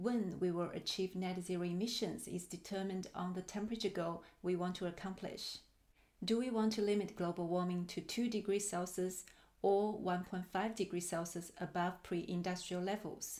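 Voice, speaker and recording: A woman's medium-pitched voice stays monotone and flat. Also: moderate pace. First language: Chinese. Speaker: climate planner. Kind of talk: work presentation. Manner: formal.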